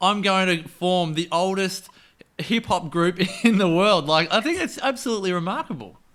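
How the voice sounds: A man's high, fairly bright voice at a moderate pace with ordinary pitch variation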